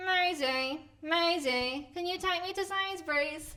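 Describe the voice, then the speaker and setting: Using a put-on character voice, a female-sounding speaker talks at a fairly slow pace in an extremely high pitch. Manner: asking for a lift.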